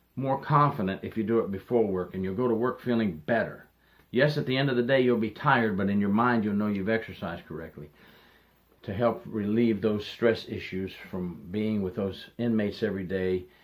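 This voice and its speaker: Speaking at a fairly quick pace, a man uses a normal speaking voice with a fairly low pitch and ordinary pitch variation. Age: 60s. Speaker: retired corrections officer. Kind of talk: advice monologue.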